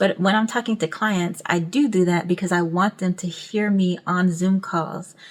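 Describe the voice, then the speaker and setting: At a moderate pace with hardly any pauses, a woman of medium pitch speaks with fairly even intonation and very even loudness. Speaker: YouTube branding coach. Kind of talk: tutorial. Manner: monotone; projecting.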